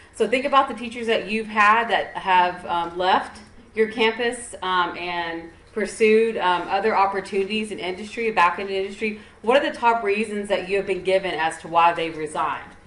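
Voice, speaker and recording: Noticeable background noise and audible room echo surround the speaker. A woman talks at medium pitch with ordinary pitch variation. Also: moderate pace. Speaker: education service center trainer. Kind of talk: conference presentation.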